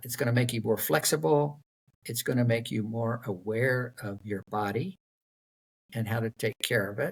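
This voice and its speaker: A man of medium pitch, somewhat breathy, at a moderate pace with ordinary pitch variation and a dry, close sound with no echo. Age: 70s. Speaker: endurance athlete, triathlete. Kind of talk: interview answer, casual conversational talk. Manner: relaxed, conversational with filler words.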